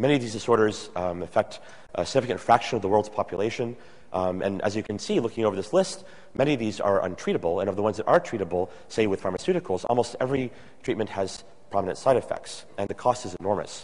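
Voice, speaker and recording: A man talks at a very fast pace. His pitch sits fairly low and varies an ordinary amount. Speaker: presenter. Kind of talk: conference lecture. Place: hall.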